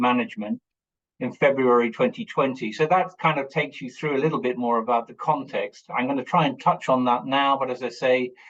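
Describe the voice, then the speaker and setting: A man with an English accent talks at a fairly quick pace in a medium pitch. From England. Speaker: lawyer and mediator. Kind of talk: webinar talk. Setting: video call. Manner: hesitant, many fillers.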